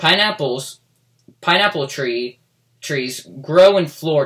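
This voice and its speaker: Here a man puts on a character voice. It sits fairly high in pitch and moves at a fairly slow pace. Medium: read story.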